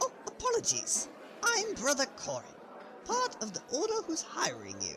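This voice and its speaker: Over clear background noise, a put-on character voice delivers lines at a moderate pace. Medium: audio drama. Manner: chatty, rambling, friendly.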